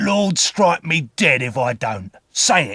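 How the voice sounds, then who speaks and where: In a dry, close sound with no echo, a gruff, growling put-on character voice moves at a fairly slow pace with very wide pitch swings. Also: man. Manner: growling, gruff, threatening.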